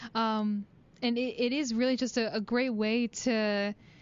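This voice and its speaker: Her voice sits high in pitch. This woman's pitch moves in an ordinary way. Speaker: college radio host. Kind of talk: casual chat. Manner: hesitant, many fillers.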